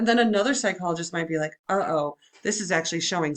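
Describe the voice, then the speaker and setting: With lively intonation, a woman talks at a fairly quick pace in a fairly low pitch. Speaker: high school psychology teacher. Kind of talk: recorded lecture. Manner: fast; casual, animated.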